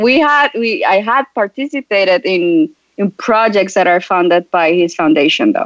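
A woman with a Spanish accent talks at a moderate pace and medium pitch, her loudness very even while her pitch swings very widely. The sound is dry and close, with no echo. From Colombia. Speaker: startup founder and physician. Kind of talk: interview.

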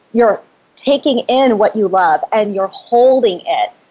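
The pitch moves in an ordinary way. It is an ordinary speaking voice. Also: woman. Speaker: spirit translator and author. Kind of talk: interview conversation.

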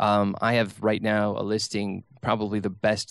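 Against a quiet background, a man with an American accent speaks in a flat monotone at fairly low pitch. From Minnesota. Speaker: real estate broker. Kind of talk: radio interview. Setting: studio.

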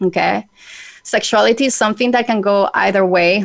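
This woman speaks with a Spanish accent. Her voice carries vocal fry. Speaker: radio host. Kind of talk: radio interview. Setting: radio studio show.

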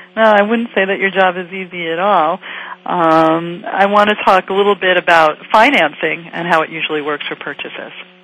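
Noticeable background noise sits behind a woman's voice. She speaks at a medium pitch and a moderate pace, with ordinary pitch variation. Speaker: radio talk show host. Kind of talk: radio interview. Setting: studio.

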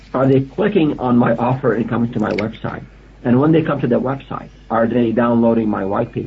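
This man has an unremarkable speaking voice at a medium pitch with ordinary pitch variation. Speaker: analytics expert.

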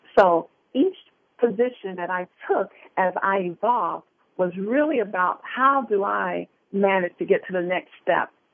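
An unremarkable speaking voice from a woman, medium in pitch, at a fairly slow pace with ordinary pitch variation. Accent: American. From US Midwest, Detroit. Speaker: life coach and motivational speaker. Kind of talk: interview.

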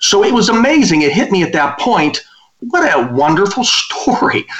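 Over noticeable background noise, a man with an American accent speaks with very wide pitch swings. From western Pennsylvania. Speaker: business consultant and author. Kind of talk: interview.

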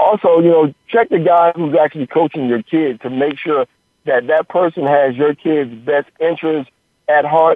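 Here a man speaks at a fairly high pitch in an ordinary speaking voice. His pace is moderate and his pitch variation ordinary. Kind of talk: phone interview on radio, talking casually as a guest. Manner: relaxed, conversational, explanatory, with filler 'you know' and 'uh'.

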